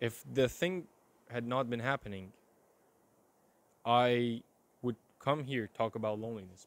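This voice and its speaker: Speaking with an Iranian accent, a man talks at a moderate pace in an animated tone. His pitch sits in the medium range. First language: Persian. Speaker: vlogger. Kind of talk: personal video diary. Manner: casual, animated.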